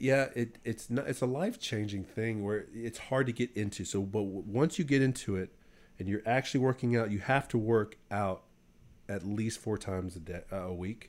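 A man with a plain, everyday voice talks at a moderate pace and medium pitch, with ordinary pitch variation, on a very clean recording with a silent background. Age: 30s. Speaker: Marine Corps reservist, off-road enthusiast. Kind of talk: casual chat. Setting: small home studio room.

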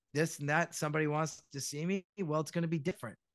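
A man's fairly high voice, an ordinary speaking voice, with fairly even intonation. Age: 50s. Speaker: voice actor. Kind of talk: casual chat.

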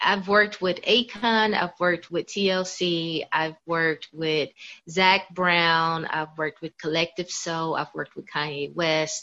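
A woman with a Southern US accent, fairly low in pitch, with a bright, sharp tone, a fairly slow pace and fairly even intonation. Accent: Southern American English. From US South (Kentucky, Florida). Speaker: singer and author. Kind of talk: interview.

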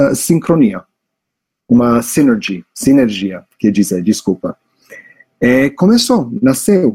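This man talks at a very slow pace. His pitch sits in the medium range. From US, New York, Italian family. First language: English and Italian (speaking Portuguese). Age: 40s. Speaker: startup founder. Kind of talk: interview. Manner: hesitant, many fillers.

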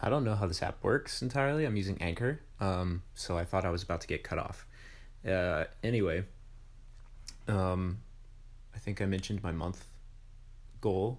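Pausing long and often, a man talks at a moderate pace with a fairly low pitch and ordinary pitch variation. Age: 20s. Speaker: podcast host and music teacher. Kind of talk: casual solo monologue. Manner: halting, many fillers.

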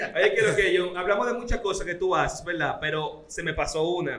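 Against noticeable background noise and audible room echo, a man speaks at a high pitch with ordinary variation. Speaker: radio host. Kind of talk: interview.

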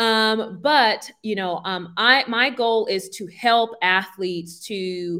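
Over a silent background on a very clean recording, a woman's medium-pitched voice has a bright, sharp tone and ordinary pitch variation. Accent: New York. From Brooklyn, New York (Brownsville). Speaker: career transition coach. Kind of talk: interview.

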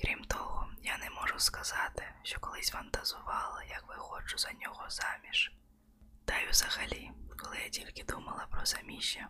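Whispering over noticeable background noise. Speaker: audiobook narrator. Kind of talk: ASMR audiobook reading, bedtime-story style. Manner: soft, slow, intimate, hushed narration.

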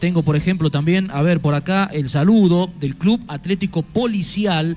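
This man has a high voice and speaks at a moderate pace. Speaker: sports radio host. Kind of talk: radio sports show. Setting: remote broadcast from a sports club.

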